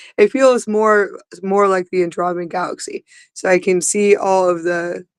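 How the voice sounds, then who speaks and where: A woman's medium-pitched voice moves at a fairly slow pace. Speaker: spiritual channeler. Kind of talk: spiritual livestream talk. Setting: outdoors. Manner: halting, repetitive.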